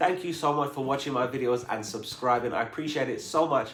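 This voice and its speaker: Audible room echo follows a man talking with an American accent. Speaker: travel vlogger. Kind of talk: casual Q&A vlog.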